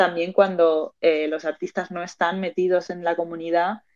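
Speaking at a fairly slow pace, the voice holds a monotone, flat intonation. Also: woman. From Spain, Madrid (born in Argentina). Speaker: artist and founder of an NFT art community. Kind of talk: casual interview chat. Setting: live audio space on social media.

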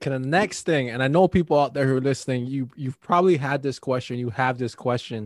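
A man speaks at a very fast pace with hardly any pauses, in a dry, close sound with no echo. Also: medium pitch for a man, ordinary pitch variation. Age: 20s. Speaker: podcast host. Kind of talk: casual chat.

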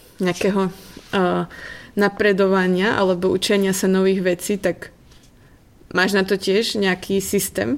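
The voice stays monotone and flat at very even loudness, at a fairly slow pace. Long, frequent pauses fall in a very clean recording with a silent background. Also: woman. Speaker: podcast host. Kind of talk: interview.

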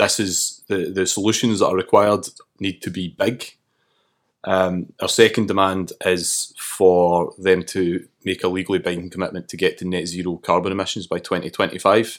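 On a very clean recording with a silent background, a man with a very deep, low pitch speaks at a moderate pace in a monotone, flat intonation. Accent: Glasgow. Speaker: climate activist. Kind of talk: casual chat. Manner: halting.

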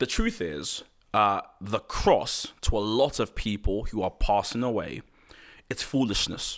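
A man talks in an animated tone at a fairly slow pace. The recording is very clean, with a silent background. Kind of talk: casual chat.

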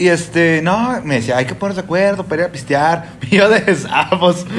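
Noticeable background noise accompanies a man speaking fairly slowly in a high voice with a Mexican accent. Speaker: podcast host. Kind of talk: casual chat. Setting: home.

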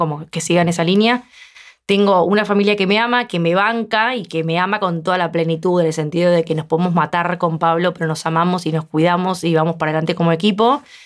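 Pitched fairly low for a woman, she talks very fast with ordinary pitch variation in a very clean recording with a silent background. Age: 40s. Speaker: podcast host. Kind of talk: casual chat.

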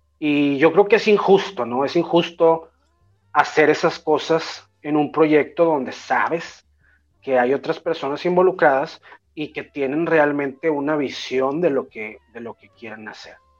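Fairly high-pitched man at a fairly slow pace, ordinary pitch variation and big swings in loudness, with music in the background. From Mexico. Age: 30s. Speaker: rapper and music producer. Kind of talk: casual interview chat.

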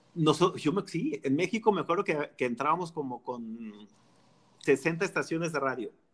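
This man has an ordinary speaking voice with a fairly high pitch. He talks at a moderate pace with lively intonation. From Mexico, Jalisco. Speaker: music industry PR director and radio host. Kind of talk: casual chat.

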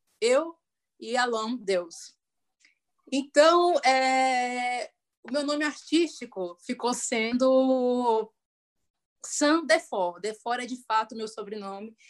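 Very slowly and with long, frequent pauses, a woman speaks at a high pitch with ordinary pitch variation. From Brasília, Brazil. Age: 30s. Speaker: singer and music educator. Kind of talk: casual interview. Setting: online video call.

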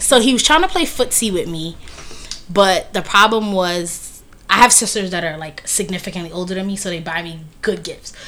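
A woman with an American accent and an ordinary speaking voice talks at a moderate pace, her medium pitch showing ordinary variation amid big swings in loudness. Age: 30s. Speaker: podcast co-host. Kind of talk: casual chat.

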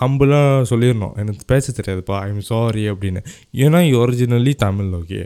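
An animated man's voice at medium pitch with ordinary pitch variation, on a very clean recording with a silent background. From Malaysia. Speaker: podcast host and director. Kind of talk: casual monologue.

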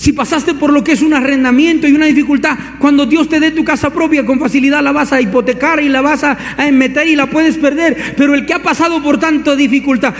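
A man's extremely high, animated voice at a fairly quick pace, very even in loudness, over noticeable background noise. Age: 30s. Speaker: pastor. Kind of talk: sermon.

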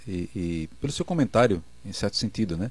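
Here a man speaks with lively intonation. His tone is dark and mellow. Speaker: pastor, debate panelist. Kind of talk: religious debate.

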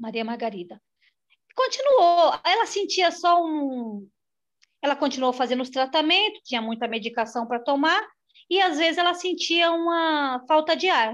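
A woman with a high pitch and very wide pitch swings speaks at a moderate pace against a quiet background. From São Paulo city (Butantã). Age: 40s. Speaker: manicure, therapy client. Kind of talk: personal testimony in a therapy conversation.

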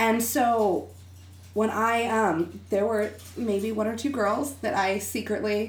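Very slow and marked by vocal fry, this voice has an American accent, fairly even intonation and very even loudness. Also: woman, fairly high pitch for a woman. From Texas. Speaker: interview guest. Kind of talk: casual chat. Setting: studio.

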